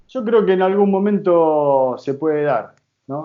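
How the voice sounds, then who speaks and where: A man speaks in an Argentine accent. His pace is fairly slow and his intonation lively. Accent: Rioplatense Argentine Spanish. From Argentina, Rosario. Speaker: football coach and former player. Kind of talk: interview.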